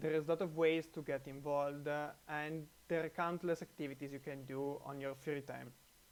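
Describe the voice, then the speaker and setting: Speaking at a fairly quick pace, a man with an Italian accent keeps a monotone, flat intonation. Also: fairly high pitch for a man. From Italy. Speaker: computer science researcher. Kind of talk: testimonial. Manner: halting, many fillers.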